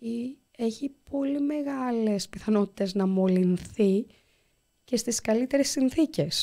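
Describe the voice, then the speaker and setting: Against a quiet background, a woman speaks very slowly in a fairly high voice with a dark, mellow tone and lively intonation. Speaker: volunteer anaesthesiologist doctor; guest. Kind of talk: interview. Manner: halting. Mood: serious, calm recounting. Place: studio. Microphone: studio mic.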